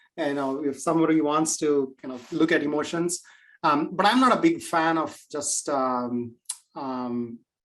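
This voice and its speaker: Speaking fairly slowly with an Indian accent, a man shows ordinary pitch variation. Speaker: AI and machine learning expert. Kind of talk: webinar Q&A. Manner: many fillers and hesitations.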